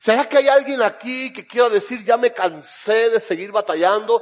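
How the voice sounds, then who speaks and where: With a Cuban accent, a man with a high pitch speaks at a fairly slow pace in an animated tone with lively intonation. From Cuba, Camagüey. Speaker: pastor. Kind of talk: sermon. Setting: church.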